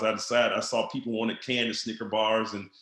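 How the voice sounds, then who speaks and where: Talking at a very fast pace, a man with a Southern US accent has a medium-pitched voice and a bright, sharp tone. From Mississippi, US South. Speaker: network marketing entrepreneur. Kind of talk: podcast interview. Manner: animated.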